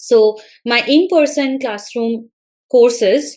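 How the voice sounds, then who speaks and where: With an Indian accent, a woman talks in a fairly high pitch. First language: Bengali. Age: 30s. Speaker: college English lecturer. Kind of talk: interview.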